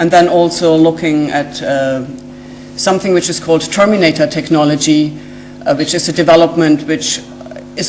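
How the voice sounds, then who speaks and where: Someone speaks with a German accent amid noticeable background noise and audible room echo. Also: woman. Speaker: genetic scientist. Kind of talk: lecture. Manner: halting, with many fillers.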